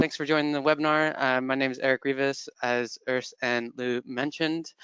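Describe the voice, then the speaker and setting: A man with an American accent speaks at a fairly high pitch with fairly even intonation and hardly any pauses. The sound is dry with no echo, and the background is quiet. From California. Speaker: employer brand manager. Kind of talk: webinar presentation. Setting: online webinar. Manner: hesitant, many fillers. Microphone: headset.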